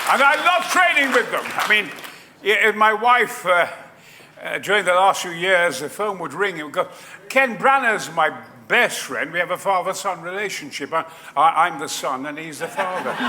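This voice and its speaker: At a moderate pace, a man with a high-pitched, raised, projected voice speaks with lively intonation and big swings in loudness. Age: 80s+. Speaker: actor. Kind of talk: interview answer.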